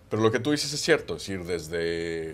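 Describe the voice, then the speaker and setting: A man's very deep, low voice. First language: Catalan (speaking Spanish). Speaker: international analyst. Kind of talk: panel discussion.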